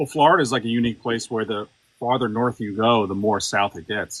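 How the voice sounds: This man has a normal speaking voice with an American accent. He talks at a fairly quick pace with ordinary pitch variation. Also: medium pitch for a man.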